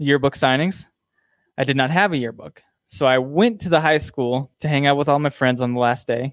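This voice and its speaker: In an ordinary speaking voice, a man with a fairly high pitch speaks at a moderate pace with ordinary pitch variation, recorded with a dry, close sound and no echo. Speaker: podcast host. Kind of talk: casual chat. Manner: casual, joking.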